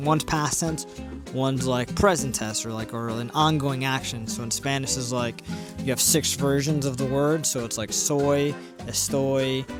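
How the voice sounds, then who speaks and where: Over background music, a man talks at a medium pitch with ordinary pitch variation. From Puerto Rican heritage, grew up not speaking Spanish. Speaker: language learner. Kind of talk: casual talk to camera. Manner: hesitant, rambling.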